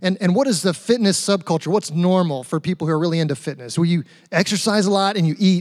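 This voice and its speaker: A man talks at a very fast pace in a high pitch with ordinary pitch variation. The recording is very clean, with a silent background. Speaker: pastor. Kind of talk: sermon. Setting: church.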